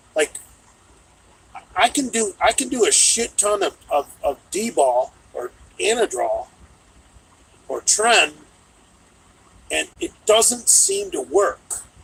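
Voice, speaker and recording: A very slow pace with long, frequent pauses, in a dry, close sound with no echo and noticeable background noise. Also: man. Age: 50s. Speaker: livestream host. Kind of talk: live stream chat reading viewer comments. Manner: repetitive stammering.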